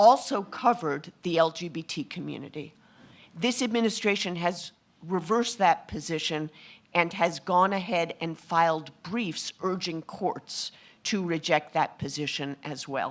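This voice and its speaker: A woman with an American accent and a normal speaking voice talks at a fairly low pitch with ordinary pitch variation and big swings in loudness, over a quiet background. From New York. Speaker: former federal civil rights official, panelist. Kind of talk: panel discussion. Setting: conference stage with audience.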